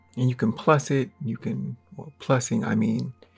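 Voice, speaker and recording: This is a man speaking. His pace is moderate. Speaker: artist and art tutorial creator. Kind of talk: drawing tutorial. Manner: casual, halting; mumbling to himself while drawing.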